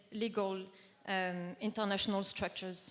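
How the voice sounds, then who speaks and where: A woman with a non-native accent, fairly slow and monotone, with flat intonation. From southern France. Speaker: activist panelist. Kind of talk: conference talk.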